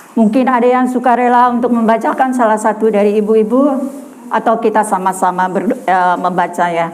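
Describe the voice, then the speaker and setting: A woman's fairly high voice at a fairly quick pace, very even in loudness, with ordinary pitch variation, audible room echo and noticeable background noise. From Madura, Indonesia (Bangkalan). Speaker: evangelist preacher. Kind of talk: sermon. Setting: women's church gathering.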